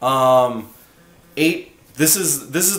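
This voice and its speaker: A man speaks at a medium pitch with ordinary pitch variation, and audible room echo surrounds his voice. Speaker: band singer and guitarist. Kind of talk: casual vlog monologue. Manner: casual with many fillers.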